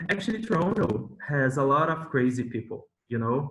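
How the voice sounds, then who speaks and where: A man with a Brazilian Portuguese accent talks at a moderate pace in a fairly high voice. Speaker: former visiting PhD student. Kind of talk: casual chat. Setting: video call. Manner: animated.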